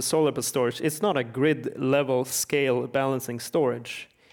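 In a Swedish accent, a man speaks at a moderate pace with a fairly high pitch and fairly even intonation. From Sweden. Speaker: energy researcher and author. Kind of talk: panel discussion.

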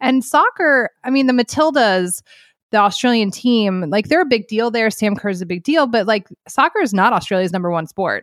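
An unremarkable speaking voice from a woman, fairly high in pitch with lively intonation, at a moderate pace, in a very clean recording with a silent background and a dry, close sound with no echo. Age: 40s. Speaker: sports journalist. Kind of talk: casual chat.

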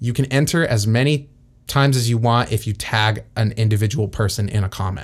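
On a very clean recording with a silent background, a man has a plain, everyday voice. He talks at a fairly quick pace with a medium pitch, ordinary pitch variation and very even loudness. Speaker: podcast host. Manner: joking, bantering.

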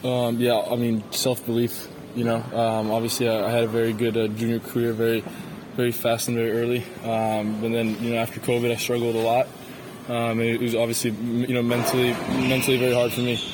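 A man at a fairly quick pace, monotone and flat in intonation, very even in loudness, over noticeable background noise. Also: medium pitch for a man. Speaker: professional tennis player. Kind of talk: post-match interview.

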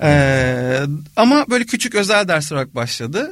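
This man talks at a fairly slow pace with a fairly high pitch. His voice swings very widely in pitch on a very clean recording with a silent background. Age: 30s. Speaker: composer. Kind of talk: interview conversation.

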